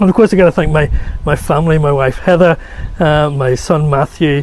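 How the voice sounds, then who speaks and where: Fairly high-pitched male speech in a Northern Irish accent, with noticeable background noise. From Northern Ireland. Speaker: solar physicist. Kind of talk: award acceptance speech.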